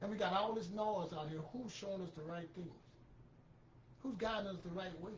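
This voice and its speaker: Speech comes at a fairly quick pace, broken by long, frequent pauses. Noticeable background noise runs underneath. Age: 60s. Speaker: finance commentary channel host. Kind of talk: motivational talk. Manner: direct; halting.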